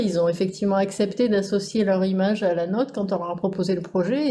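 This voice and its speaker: Hers is an unremarkable speaking voice, a woman at medium pitch with ordinary pitch variation and a moderate pace. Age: 40s. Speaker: insurance team manager. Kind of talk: casual interview.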